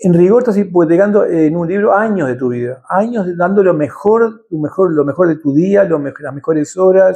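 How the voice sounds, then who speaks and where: A man speaks in a high, dark, mellow voice at a moderate pace. His pitch variation is ordinary, and the background is quiet. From Uruguay, Montevideo (Carrasco). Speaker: writer and journalist. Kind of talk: interview conversation.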